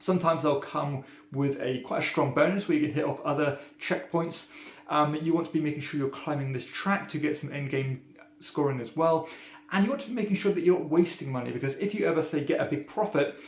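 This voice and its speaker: Talking at a very fast pace with a British accent, a man uses ordinary pitch variation. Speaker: board game reviewer. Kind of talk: casual review monologue. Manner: frequent filler ums.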